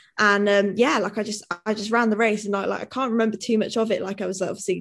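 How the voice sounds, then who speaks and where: Words come out at a very fast pace in a Welsh accent. The intonation stays monotone and flat. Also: woman. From Mid-Wales. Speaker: professional athlete. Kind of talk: interview. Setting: video call.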